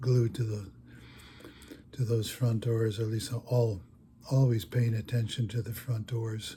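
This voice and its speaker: Somewhat breathy and dark, mellow in tone, a man speaks at a fairly slow pace. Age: 80s+. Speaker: retired storyteller, former sporting goods store worker. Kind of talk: personal anecdote told to camera. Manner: slow, hesitant, conversational.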